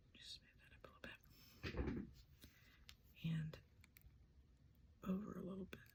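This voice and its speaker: A woman whispers at a fairly slow pace with long, frequent pauses. Her loudness swings widely. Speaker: collage artist and craft channel host. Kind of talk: crafting tutorial narration. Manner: musing, thinking aloud; soft-spoken.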